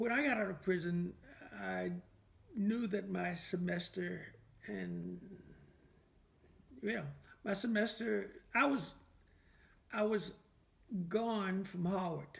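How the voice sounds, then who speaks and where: At a very slow pace with long, frequent pauses, a man with an American accent speaks amid audible room echo. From US South, Petersburg, Virginia. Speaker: civil rights activist. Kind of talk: oral history interview.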